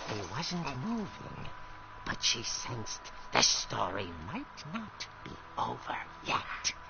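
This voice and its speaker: A man's put-on character voice, fairly high and fairly slow, over loud background noise. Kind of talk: horror narration. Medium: game stream. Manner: dramatic, suspenseful.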